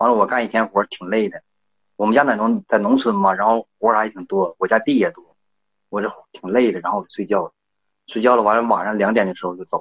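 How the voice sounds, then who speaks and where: At a very fast pace, a man speaks at medium pitch with fairly even intonation and big swings in loudness. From rural China. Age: 30s. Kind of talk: phone call. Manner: halting.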